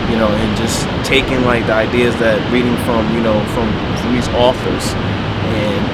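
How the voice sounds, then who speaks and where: With music in the background, a man speaks at a medium pitch. His intonation is monotone and flat, and his pace fairly slow. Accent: American. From New Jersey, USA. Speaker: poet, actor. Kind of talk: casual talk to camera. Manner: casual, hesitant.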